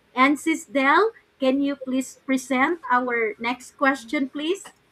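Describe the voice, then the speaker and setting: At a very slow pace, a woman projects a raised voice at high pitch, her tone bright and sharp. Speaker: live show host. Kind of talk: online interview.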